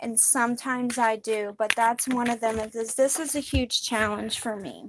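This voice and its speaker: The woman speaks at a moderate pace. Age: 40s. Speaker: spiritual card reader. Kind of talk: tarot-style guided reading monologue. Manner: sometimes loud; irregular pauses and rising volume.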